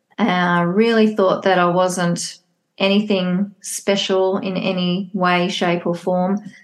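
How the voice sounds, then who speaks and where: Very slowly and in a monotone, flat intonation, a woman speaks at medium pitch against a quiet background. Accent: Australian. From Australia. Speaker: psychologist and divorce coach. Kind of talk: casual interview chat.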